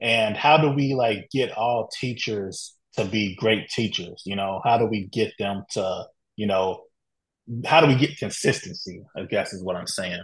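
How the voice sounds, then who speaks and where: A somewhat breathy man's voice, medium in pitch, at a fairly slow pace. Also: ordinary pitch variation. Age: 30s. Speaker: podcast host. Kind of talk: interview.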